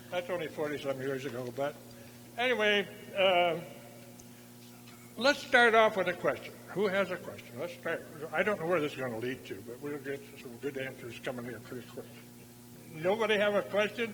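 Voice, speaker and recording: A bright, sharp voice with an American accent moves at a moderate pace, with very wide pitch swings, big swings in loudness and long, frequent pauses. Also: man, fairly high pitch for a man. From US, rural farm. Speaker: balloon pilot and war veteran. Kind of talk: talk to museum audience with Q&A. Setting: exhibit opening with audience. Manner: halting, many fillers.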